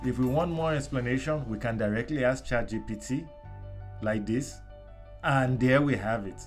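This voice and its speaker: Speaking with a Nigerian accent at a fairly slow pace, the voice has ordinary pitch variation and long, frequent pauses. Music plays in the background. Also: man, medium pitch for a man. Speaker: explainer. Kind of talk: tech tutorial narration. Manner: dramatic, friendly.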